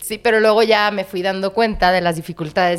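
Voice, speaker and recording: A plain, everyday voice from a woman, moderately paced. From Monterrey, northern Mexico. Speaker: actress and visual artist. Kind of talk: casual chat.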